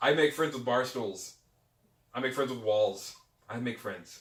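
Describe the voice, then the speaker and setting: Loud and animated, a man's voice carries a bright, sharp tone with ordinary pitch variation. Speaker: pagan podcast co-founder. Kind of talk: casual interview chat. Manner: loud, animated.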